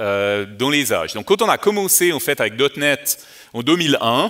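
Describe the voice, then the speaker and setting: This is a man's voice. He speaks with a Vaud accent. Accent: Vaud Swiss French, good. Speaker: developer advocate, conference speaker. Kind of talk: conference talk. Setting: conference stage with audience. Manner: hesitant, many fillers.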